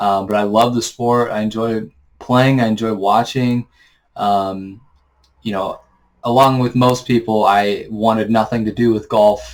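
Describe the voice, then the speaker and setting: A normal speaking voice from a man, fairly low in pitch, at a moderate pace with fairly even intonation, on a very clean recording with a silent background. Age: 20s. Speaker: sports channel host, aspiring analyst. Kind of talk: casual vlog monologue. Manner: casual, filler-heavy.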